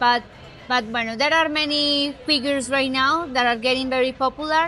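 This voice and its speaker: A woman's high-pitched, raised and projected voice in a Spanish accent, at a moderate pace, with fairly even intonation and very even loudness. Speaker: real estate agent. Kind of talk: casual interview. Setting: shopping mall.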